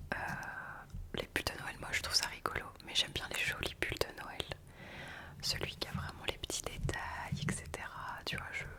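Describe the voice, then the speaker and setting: Whispering at a fairly slow pace, with noticeable background noise. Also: woman. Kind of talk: ASMR whispered casual talk to camera. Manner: whispered, soft-spoken, intimate.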